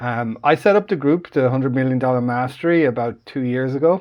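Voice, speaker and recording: A man speaks in an Irish accent at medium pitch and a moderate pace. His pitch varies in an ordinary way against a quiet background. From Ireland. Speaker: online business group founder. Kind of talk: live stream call. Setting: live online call. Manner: casual, halting with fillers.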